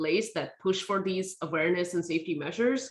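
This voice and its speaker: A woman's medium-pitched voice with a non-native accent, ordinary pitch variation, and a fairly quick pace. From India. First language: not English. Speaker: tech safety nonprofit founder. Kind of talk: speaker series Q&A.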